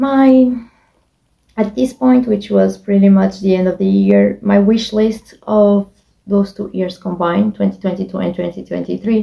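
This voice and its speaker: This woman speaks with a non-native accent. She keeps a moderate pace. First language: not English. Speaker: beauty vlogger. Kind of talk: casual monologue. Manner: halting.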